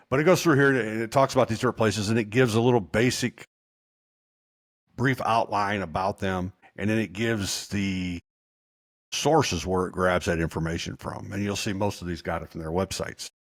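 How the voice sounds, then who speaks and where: A man with a Southern accent talks at a fairly quick pace in a fairly low voice, his pitch varying in an ordinary way, on a dry, close, very clean recording with no echo and a silent background. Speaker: kennel owner. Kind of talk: tutorial. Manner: casual.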